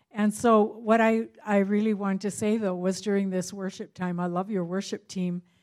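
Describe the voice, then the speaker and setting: A woman with a Canadian accent speaks at a medium pitch and a moderate pace. Her intonation is monotone and flat, with hardly any pauses. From Canada. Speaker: visiting minister. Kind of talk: church greeting. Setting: church.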